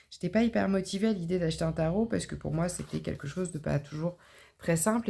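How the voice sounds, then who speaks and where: Dark and mellow in tone with vocal fry, a woman speaks at a fairly low pitch with ordinary pitch variation. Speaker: tarot card reader. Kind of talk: spiritual tarot reading. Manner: hesitant, many fillers.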